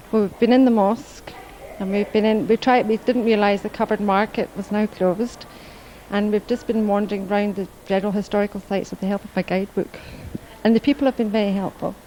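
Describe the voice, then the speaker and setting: A woman with a Scottish accent, medium pitch, very fast pace and monotone, flat intonation, amid noticeable background noise. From Scotland. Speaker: tourist. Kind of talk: street interview.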